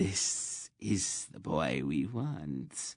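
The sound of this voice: A man puts on a raspy character voice with a very deep, low pitch, swinging it very widely and adding hissing sounds.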